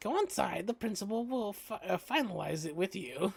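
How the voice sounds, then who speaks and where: A put-on character voice, female-sounding, at a medium pitch and a moderate pace. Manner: halting, mock-wise.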